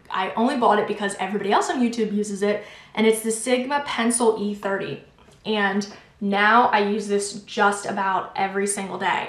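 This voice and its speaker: Noticeable background noise and audible room echo surround a woman's medium-pitched voice. She talks at a fairly quick pace with fairly even intonation. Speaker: beauty vlogger. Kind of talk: product review monologue.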